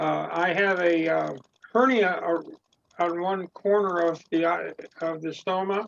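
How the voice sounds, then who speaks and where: A man speaks with a high pitch and fairly even intonation. His pace is fairly slow. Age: 80s+. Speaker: webinar participant with an ostomy. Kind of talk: casual Q&A on a webinar. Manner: halting, repeats words.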